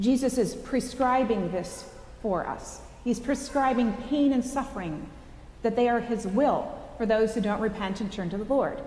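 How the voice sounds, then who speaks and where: With ordinary pitch variation, a woman talks at a moderate pace amid audible room echo. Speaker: associate priest. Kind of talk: sermon. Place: church.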